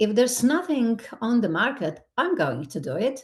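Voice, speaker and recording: A woman speaks in a Slovenian accent, somewhat breathy. Her pitch swings very widely. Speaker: skincare ingredient company executive. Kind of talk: podcast interview.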